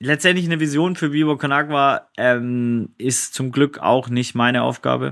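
Moderate pace, ordinary pitch variation, and an ordinary speaking voice. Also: man. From Swabia, southwestern Germany. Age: 40s. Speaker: social entrepreneur. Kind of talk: casual interview.

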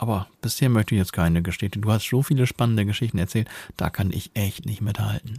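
Speaking at a very fast pace, a man has a dark, mellow tone. His voice is somewhat breathy. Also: fairly low pitch for a man, ordinary pitch variation. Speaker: podcast co-host. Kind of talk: casual chat.

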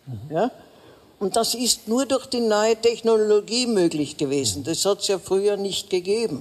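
The voice is an ordinary speaking voice with lively intonation. It keeps to a moderate pace. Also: woman, medium pitch for a woman. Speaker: veteran political journalist. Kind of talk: live panel discussion.

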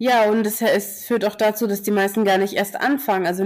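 Talking at a fairly quick pace, a woman with medium pitch and an ordinary speaking voice is heard on a very clean recording with a silent background. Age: 20s. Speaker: curvy model. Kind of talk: casual chat.

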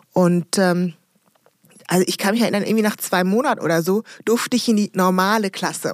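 Using a normal speaking voice, a woman talks at a moderate pace and medium pitch with fairly even intonation, in a dry, close sound with no echo. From DR Congo, raised in rural Rhineland near Bonn from childhood. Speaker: entrepreneur and diversity consultant. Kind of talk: interview.

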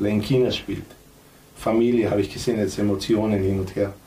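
In a Macedonian accent, a man speaks at a moderate pace with a fairly low pitch, a dark, mellow tone, a somewhat breathy quality and monotone, flat intonation, with audible room echo. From North Macedonia. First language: Macedonian (speaking German). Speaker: former footballer, coach and club owner. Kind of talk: casual chat.

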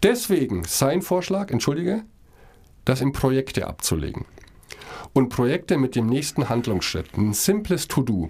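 A man speaks at a moderate pace and a medium pitch, with vocal fry, very wide pitch swings and long, frequent pauses, on a very clean recording with a silent background. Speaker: podcast co-host. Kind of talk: casual chat.

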